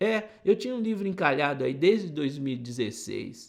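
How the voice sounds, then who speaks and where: Speaking in a caipira accent, a man talks at a moderate pace. His pitch swings very widely. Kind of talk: casual, conversational.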